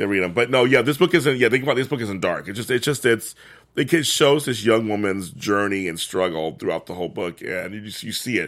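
A man with an ordinary speaking voice talks at a fairly quick pace and medium pitch, with lively intonation and big swings in loudness, on a very clean recording with a silent background. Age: middle-aged. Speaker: book club podcast host. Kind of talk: casual chat.

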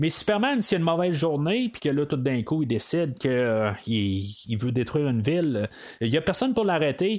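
A man speaks with very wide pitch swings and very even loudness. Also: fairly high pitch for a man, moderate pace. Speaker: podcast host, film reviewer. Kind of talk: solo film review podcast. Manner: halting, many fillers and repetitions.

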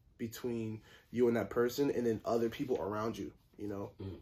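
A man's medium-pitched voice in a monotone, flat delivery. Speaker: podcast co-host. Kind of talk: casual chat.

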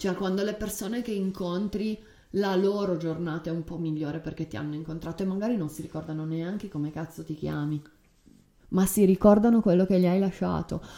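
A woman speaks at a fairly low pitch and a fairly quick pace. Her tone is dark and mellow, with ordinary pitch variation. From Turin, northern Italy. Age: 30s. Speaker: podcast host. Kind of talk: casual conversational podcast. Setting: home desk recording.

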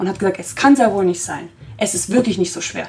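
A woman at medium pitch, very fast with lively intonation, over noticeable background noise. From Germany, Italian family. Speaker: podcast host. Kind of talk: casual discussion. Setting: studio.

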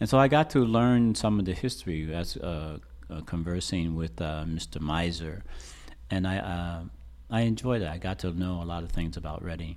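A man with a very deep, low pitch talks at a moderate pace with lively intonation. Audible room echo is present. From Reading, Pennsylvania. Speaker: artist, muralist. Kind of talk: interview. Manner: halting.

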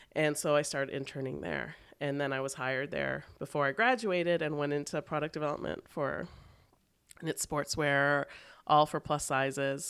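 A woman with a Canadian accent, a very deep, low pitch, vocal fry and fairly even intonation, on a very clean recording with a silent background. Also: moderate pace. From Canada, Toronto. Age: 30s. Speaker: fashion blogger and plus-size store founder. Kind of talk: casual interview chat.

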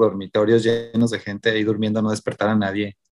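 This man talks very fast at a medium pitch, his intonation monotone and flat. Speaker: podcast co-host. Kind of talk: casual chat.

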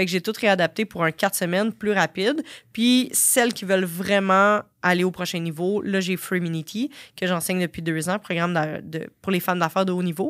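In a very clean recording with a silent background and a dry, close sound with no echo, a woman with a normal speaking voice speaks at medium pitch with ordinary pitch variation. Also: moderate pace. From Quebec, Sorel. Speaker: fitness entrepreneur and business coach. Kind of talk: interview.

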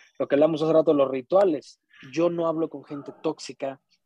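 With a Mexican accent, a man speaks fairly quickly in a fairly high pitch and a dark, mellow tone, in a dry, close sound with no echo. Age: 30s. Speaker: musician and podcaster. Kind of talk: casual chat.

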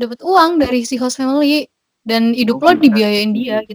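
A woman's high-pitched voice with lively intonation at a moderate pace, in a dry, close sound with no echo. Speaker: Indonesian student abroad. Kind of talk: casual interview.

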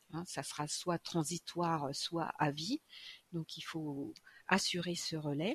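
A woman speaks very slowly in a somewhat breathy, fairly low voice with fairly even intonation, the sound dry and close with no echo. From France, Châlons-en-Champagne. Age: 50s. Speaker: nurse. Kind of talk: interview. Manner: hesitant, many fillers.

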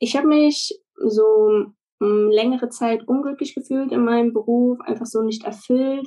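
Using a dark, mellow tone, a woman with a fairly high pitch speaks at a fairly slow pace with ordinary pitch variation. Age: 20s. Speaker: virtual assistant and childcare worker. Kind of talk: casual interview.

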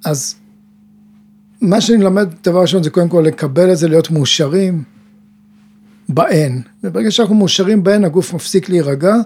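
A man with a high voice speaks at a moderate pace. He leaves long, frequent pauses, and background noise is noticeable. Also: ordinary pitch variation, very even loudness. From Israel, kibbutz. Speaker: mental coach and teacher. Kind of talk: casual chat. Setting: studio.

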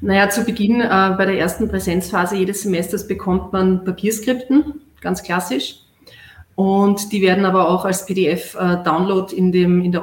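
A somewhat breathy woman talks at a medium pitch and a moderate pace, her intonation fairly even. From Austria, Vienna. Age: 40s. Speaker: distance-learning graduate, clinical research worker. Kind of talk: interview on a live stream.

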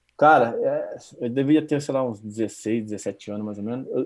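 A man's medium-pitched voice at a very slow pace, with big swings in loudness, over a quiet background. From Brazil. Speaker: database administrator. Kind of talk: casual interview. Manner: halting, repeats words.

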